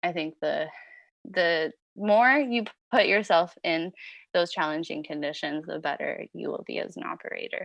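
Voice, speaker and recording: The background is quiet, and the speech moves at a moderate pace. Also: woman. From California Bay Area, born in France. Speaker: snow grooming operator. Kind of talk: podcast interview.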